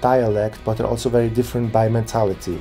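Faint music plays in the background. A man talks in a Swiss German accent. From Zurich, Switzerland. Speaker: YouTuber giving Switzerland advice. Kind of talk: casual talk to camera. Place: home room. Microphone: phone near.

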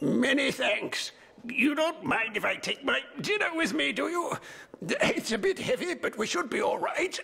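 A man does a cartoonish character voice. His pitch is extremely high, and he keeps a moderate pace. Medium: puppet show. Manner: plaintive, then good-humoured.

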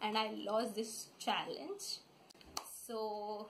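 Light background noise sits behind a woman whose voice is fairly high in pitch. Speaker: vlogger. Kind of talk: casual talk to camera, playful sibling banter. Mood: playful, laughing. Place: home room. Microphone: phone near.

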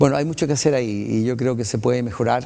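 Ordinary pitch variation marks a man's dark, mellow tone. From Chile. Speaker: municipal council candidate, retired pilot. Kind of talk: interview. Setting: TV studio. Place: studio. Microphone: lapel.

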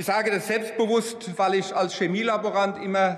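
A man with a high pitch talks with fairly even intonation. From Germany, Rhineland-Palatinate. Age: 60s. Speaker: politician. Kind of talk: parliamentary speech. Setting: parliament chamber. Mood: warm, reflective, grateful. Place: hall. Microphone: podium.

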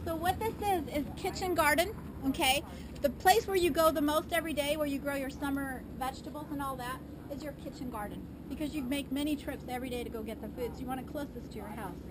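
Through loud background noise, a woman speaks at a very fast pace with ordinary pitch variation. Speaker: garden tour guide. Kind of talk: tour explanation. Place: garden. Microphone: camera far.

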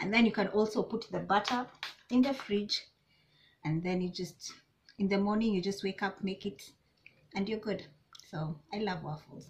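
Somewhat breathy, a woman reads at a moderate pace with ordinary pitch variation and long, frequent pauses. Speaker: vlogger. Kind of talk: casual vlog chat. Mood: relaxed and cheerful. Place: home room. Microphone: camera far.

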